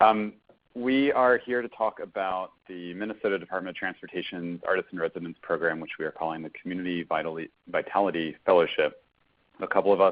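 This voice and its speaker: At a fairly quick pace, the speech shows ordinary variation in pitch. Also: man. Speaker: nonprofit program staff. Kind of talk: webinar presentation. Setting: conference call webinar. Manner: hesitant with fillers and brief pauses.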